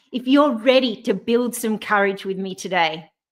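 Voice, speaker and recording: With an Australian accent, a woman speaks at a moderate pace with lively intonation. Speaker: courage coach, speaker. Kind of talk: motivational talk. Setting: online live stream. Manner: animated.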